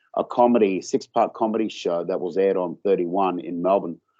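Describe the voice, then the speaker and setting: With an Australian accent, a man talks at a fairly low pitch with ordinary pitch variation. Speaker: author and film producer. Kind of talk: interview. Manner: halting, many fillers and repeats.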